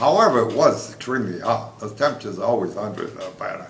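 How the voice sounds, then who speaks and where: Man's medium-pitched voice at a moderate pace over noticeable background noise. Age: 80s+. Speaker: war veteran. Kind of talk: interview answer. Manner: hesitant, halting.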